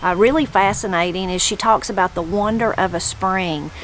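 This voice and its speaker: A woman talks with a Southern Appalachian accent. Her pitch sits at a medium level. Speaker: video host and interviewer. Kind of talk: intro narration to camera. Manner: casual.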